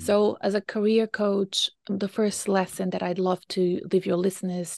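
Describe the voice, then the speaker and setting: The intonation is monotone and flat at a fairly slow pace. The background is quiet. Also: woman. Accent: Portuguese. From Brazil. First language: Portuguese. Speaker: career coach. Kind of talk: interview.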